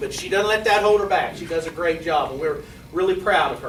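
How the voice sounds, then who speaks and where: Through audible room echo and noticeable background noise, a man speaks in a high voice with ordinary pitch variation. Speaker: school administrator. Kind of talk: award ceremony speech. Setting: ceremony with audience. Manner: loud.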